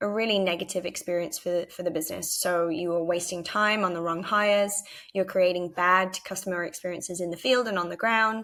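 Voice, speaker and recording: A woman with a British accent talks at a fairly quick pace and a medium pitch. Her tone is bright and sharp, with ordinary pitch variation. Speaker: head of marketing at a tech startup. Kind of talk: conference presentation with product demo. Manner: frequent filler ums.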